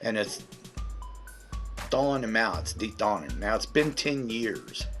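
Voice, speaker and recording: Music plays in the background while a man speaks. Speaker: movie reviewer. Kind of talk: casual talk to camera.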